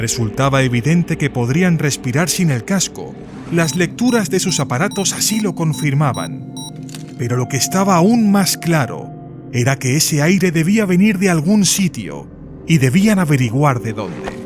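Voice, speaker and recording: Music plays behind a man with a fairly high pitch and lively intonation. He speaks at a fairly slow pace. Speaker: voice actor. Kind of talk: audiobook narration.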